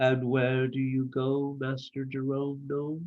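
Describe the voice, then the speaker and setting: A man's put-on character voice, medium in pitch, fairly slow, with monotone, flat intonation. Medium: read story.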